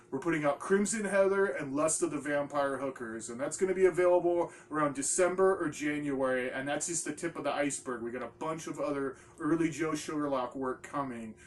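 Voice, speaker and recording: With lively intonation and a fairly quick pace, a man talks as noticeable background noise plays. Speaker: small DVD label owner, horror video host. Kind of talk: casual product rundown video. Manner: animated.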